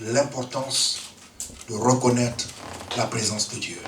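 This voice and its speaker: A man speaks very slowly over noticeable background noise. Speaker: preacher. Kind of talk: sermon. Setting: church.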